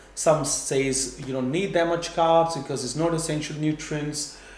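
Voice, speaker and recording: With audible room echo, a man talks at a fairly high pitch and ordinary pitch variation. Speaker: fitness and nutrition educator. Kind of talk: tutorial. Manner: fast; halting.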